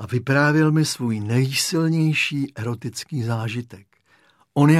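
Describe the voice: The speaker does plain reading aloud with ordinary pitch variation against a quiet background.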